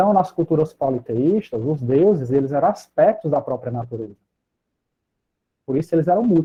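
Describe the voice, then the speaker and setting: A moderate pace is broken by long, frequent pauses, while the intonation stays lively. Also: man, fairly high pitch for a man. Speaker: psychologist and lecturer. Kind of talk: lecture.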